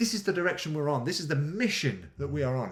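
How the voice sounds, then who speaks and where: A man speaks at a fairly quick pace in a fairly high pitch, somewhat breathy. His pitch swings very widely. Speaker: adventure coach, podcast host. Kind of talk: motivational podcast monologue. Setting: home kitchen. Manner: fast; animated.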